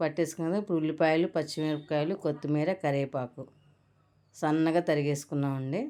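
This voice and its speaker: A woman speaks in a very deep, low register with a dark, mellow tone and fairly even intonation, captured on a very clean recording against a silent background. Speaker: cooking channel host. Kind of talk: cooking tutorial.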